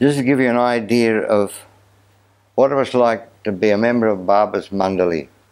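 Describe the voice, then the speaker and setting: A man with an Australian accent speaks at a moderate pace with ordinary pitch variation and very even loudness against a quiet background. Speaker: storyteller. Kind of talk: talk to an audience. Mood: lively, animated storytelling. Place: home room. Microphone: lapel.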